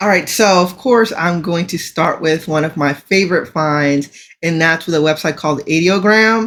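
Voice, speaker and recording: Excited in tone, a woman talks at a moderate pace in a fairly low voice with ordinary pitch variation, on a very clean recording with a silent background. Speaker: AI news podcast co-host. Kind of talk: casual chat. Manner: excited, tripping over words.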